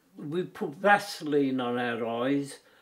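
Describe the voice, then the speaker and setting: With a Birmingham accent, a man speaks with ordinary pitch variation. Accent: Birmingham (Brummie) English. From English West Midlands, Birmingham. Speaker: war veteran. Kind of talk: personal testimony. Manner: halting, with frequent repetitions.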